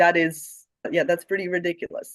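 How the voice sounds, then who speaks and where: This man has a Romanian accent and talks at a moderate pace. The sound is dry and close, with no echo. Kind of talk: conference talk.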